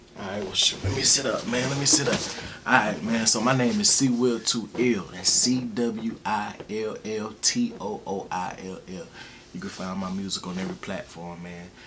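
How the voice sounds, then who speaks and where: Amid noticeable background noise and audible room echo, a man speaks at a medium pitch and a moderate pace with ordinary pitch variation. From US South, Alabama (Wetumpka, near Montgomery). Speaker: rapper and music producer. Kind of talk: casual interview. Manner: laid-back, filler-heavy.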